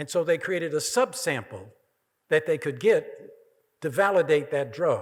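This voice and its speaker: Speaking at a moderate pace with an American accent, the voice shows vocal fry, very wide pitch swings and long, frequent pauses, on a very clean recording with a silent background. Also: man, fairly high pitch for a man. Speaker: keynote speaker, professor. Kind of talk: Q&A answer.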